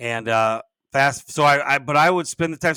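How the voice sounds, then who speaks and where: A loud, bright, sharp voice at a fairly quick pace with ordinary pitch variation, dry and close with no echo, on a very clean recording with a silent background. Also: man. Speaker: podcast host and business coach. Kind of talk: casual podcast monologue. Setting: home office. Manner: rambling, halting with many restarts.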